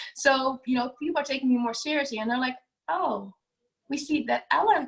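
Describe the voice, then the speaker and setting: A woman with a non-native accent speaks at a fairly quick pace. Her pitch variation is ordinary. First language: not English. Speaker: business owner, declutter coach. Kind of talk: podcast interview. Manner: halting, many fillers.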